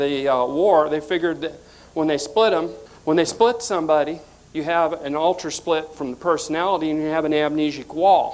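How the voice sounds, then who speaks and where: This man speaks in a Southern US accent at a fairly high pitch. His pace is moderate, with ordinary pitch variation. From US South (born West Coast). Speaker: conspiracy researcher and author. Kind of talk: lecture.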